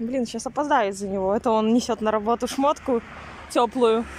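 Against light background noise, a woman talks at a moderate pace with fairly even intonation, in a dry sound with no echo. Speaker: vlogger. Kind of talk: casual vlog chat. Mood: amused, slightly annoyed. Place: street. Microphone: phone near.

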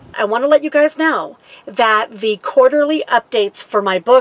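Lively intonation marks a woman's delivery at a moderate pace. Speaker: RV lifestyle vlogger. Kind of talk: casual vlog chat. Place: home room.

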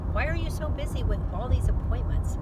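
A woman speaks in a dry sound with no echo. Loud background noise runs underneath. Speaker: vlogger. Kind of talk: casual vlog chat, storytelling. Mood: exasperated, amused. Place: car. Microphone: phone near.

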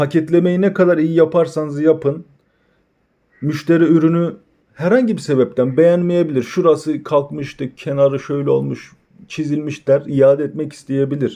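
The man's dark, mellow tone sits at a fairly high pitch, with fairly even intonation and a moderate pace. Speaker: e-commerce tutorial creator. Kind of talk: tutorial.

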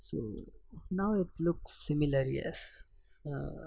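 His voice has a dark, mellow tone. The man's pitch is fairly high. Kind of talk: software tutorial voiceover. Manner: hesitant, casual.

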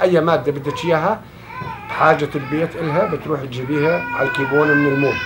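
Over loud background noise, a man with a fairly high pitch talks at a fairly quick pace with ordinary pitch variation. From Syria, Daraa. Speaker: refugee. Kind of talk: interview answer. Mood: calm, warm reminiscing. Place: home room.

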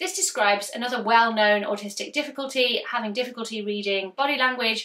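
Over a quiet background, a woman with a British accent talks at a moderate pace in a bright, sharp tone with lively intonation. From UK. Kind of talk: educational explainer video. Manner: loud. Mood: warm, empathetic. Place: home room.

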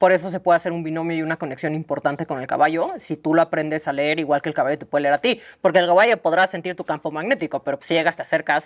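A woman talks at a very fast pace over a quiet background. Her fairly low voice has ordinary pitch variation. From Mexico. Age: 30s. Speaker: horse sanctuary founder. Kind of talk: casual interview. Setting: on location at horse sanctuary. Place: farm machine. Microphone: lapel.

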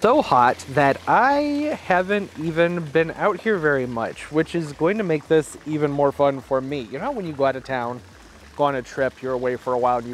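Over light background noise, a man talks at a fairly quick pace with ordinary pitch variation in a dry sound with no echo. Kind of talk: casual vlog chat. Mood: relaxed, chatty. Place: garden. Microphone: phone near.

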